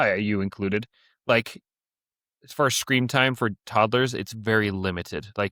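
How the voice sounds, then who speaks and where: A man's bright, sharp tone, dry and close with no echo, on a very clean recording with a silent background. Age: 20s. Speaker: podcast co-host. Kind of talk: casual chat.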